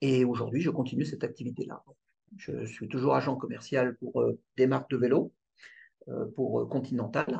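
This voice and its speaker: Long, frequent pauses break up a man's speech, which moves at a moderate pace. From Paris region, France (Yvelines). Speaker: bike distributor. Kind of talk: interview. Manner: halting, repeats words.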